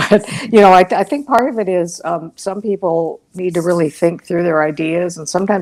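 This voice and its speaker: A quiet woman's voice, fairly even in intonation, at a fairly quick pace. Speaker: board director and strategist. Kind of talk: webinar panel conversation. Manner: quiet, thinks before talking; halting, many repetitions.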